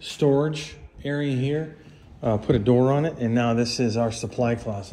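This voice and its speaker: A man's fairly slow speech with ordinary pitch variation, over light background noise. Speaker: property owner host. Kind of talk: casual property tour commentary. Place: home room. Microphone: phone near.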